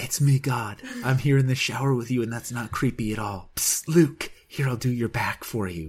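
Using a put-on character voice at a medium pitch, a man talks with hardly any pauses. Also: moderate pace. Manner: creepy, intrusive.

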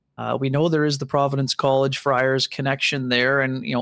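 Over noticeable background noise, a man speaks in a fairly high, monotone, flat voice. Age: 40s. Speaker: hockey reporter. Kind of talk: casual chat.

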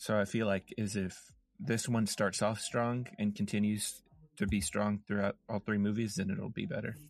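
Here is an unremarkable speaking voice from a man with a fairly low pitch. He talks at a moderate pace. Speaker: podcast host. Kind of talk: casual comedy chat.

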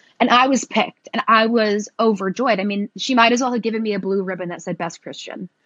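Speaking very fast with an American accent, the voice shows ordinary pitch variation. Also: woman, fairly high pitch for a woman. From Tennessee, US South. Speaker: divinity graduate and content creator. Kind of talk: casual chat.

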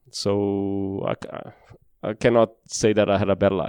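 A man with a Portuguese accent speaks in a fairly low pitch with a dark, mellow tone. The sound is dry and close, with no echo. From Brazil. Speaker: former racing driver. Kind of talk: interview. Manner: halting.

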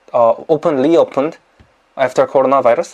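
A man with a Korean accent speaks at a fairly high pitch. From South Korea. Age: 20s. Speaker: YouTuber. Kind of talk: casual interview.

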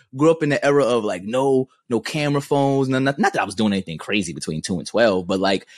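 Recorded dry and close with no echo against a quiet background, a man with a New York accent talks very fast at a fairly high pitch, his voice making very wide pitch swings. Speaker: podcast co-host. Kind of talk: casual chat.

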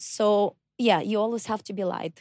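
The recording has a dry, close sound with no echo. A woman speaks at a moderate pace. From Kazakhstan. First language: Russian or Kazakh. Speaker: circus acrobat. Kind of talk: interview. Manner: halting.

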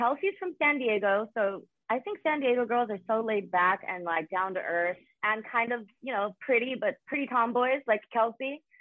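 A woman's fairly high voice, a plain, everyday voice, with lively intonation at a moderate pace. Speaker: reality show cast member guest. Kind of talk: casual chat.

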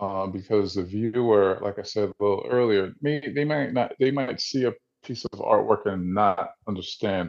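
A man speaks at a fairly low pitch with a New Jersey accent. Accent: New Jersey American. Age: 40s. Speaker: visual artist. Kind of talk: interview.

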